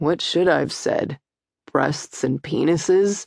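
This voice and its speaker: Using a raspy, put-on character voice at a middle pitch, the speaker goes at a fairly slow pace. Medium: read story. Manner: crude, joking.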